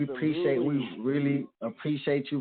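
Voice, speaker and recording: With fairly even intonation, a man uses an ordinary speaking voice pitched fairly high. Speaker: radio show host. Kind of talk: casual radio show talk.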